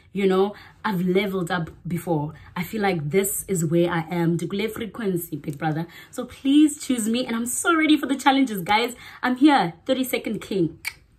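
A woman speaks loudly in a playful, upbeat tone at a moderate pace. Her medium pitch swings very widely. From Sterkspruit, Eastern Cape, South Africa. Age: 20s. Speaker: MC and waitress. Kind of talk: reality show audition video to camera. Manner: loud, playful, upbeat. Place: home room. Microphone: phone near.

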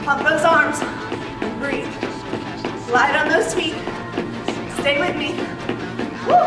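A woman talks in a room with audible echo while loud music plays behind her. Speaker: fitness instructor. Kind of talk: workout class instruction. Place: gym.

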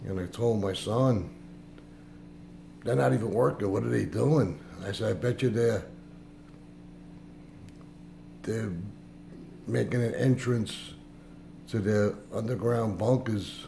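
Long, frequent pauses mark this somewhat breathy voice with a dark, mellow tone and ordinary pitch variation. Light background noise sits underneath. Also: man, fairly low pitch for a man, fairly slow pace. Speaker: vlogger. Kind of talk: casual vlog chat. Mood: suspicious, earnest. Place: kitchen. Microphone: phone near.

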